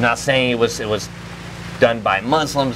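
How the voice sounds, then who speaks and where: A man speaks with an American accent and ordinary pitch variation. Noticeable background noise is present. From Florida. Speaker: security guard and firearms trainer; interviewee. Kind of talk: interview. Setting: trade show. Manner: casual, filler-heavy. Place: open country.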